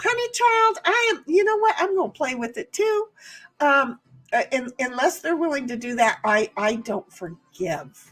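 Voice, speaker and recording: Music plays behind a woman speaking at a fairly slow pace. Her voice is high, with very wide pitch swings. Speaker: live streamer and epoxy crafter. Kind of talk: casual chat. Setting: live stream.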